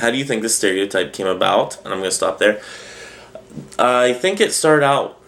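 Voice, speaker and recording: Amid noticeable background noise, a man with a medium pitch speaks at a fairly quick pace, his intonation lively, with long, frequent pauses. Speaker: pagan video blogger. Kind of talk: casual vlog talk.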